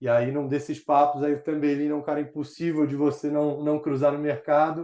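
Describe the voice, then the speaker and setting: At a fairly quick pace, a man speaks with a dark, mellow tone and a fairly high pitch in a monotone, flat delivery. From Rio de Janeiro, Brazil, raised partly in São Paulo. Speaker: startup executive, former investment banker. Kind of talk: casual interview chat. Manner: hesitant, repeats words.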